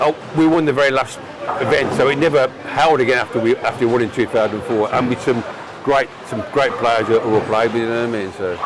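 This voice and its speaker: A man talks at a fairly quick pace with ordinary pitch variation, amid audible room echo and noticeable background noise. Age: 70s. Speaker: veteran tenpin bowler. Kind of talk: casual interview. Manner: halting, repeats words.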